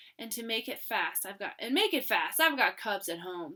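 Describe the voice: Using a put-on character voice, a woman with a fairly high pitch speaks at a moderate pace in a booming, growling delivery.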